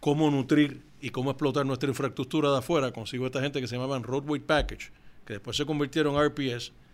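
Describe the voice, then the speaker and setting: Fairly high in pitch, a man talks at a fairly quick pace in a plain, everyday voice with fairly even intonation. The recording is very clean, with a silent background. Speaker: company founder. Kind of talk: interview.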